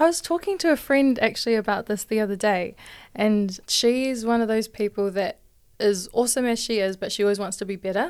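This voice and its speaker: A woman with a New Zealand accent speaks at a fairly high pitch on a very clean recording with a silent background. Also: ordinary pitch variation, fairly quick pace. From New Zealand, Hamilton. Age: 20s. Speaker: church youth podcaster, health worker. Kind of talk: casual faith discussion.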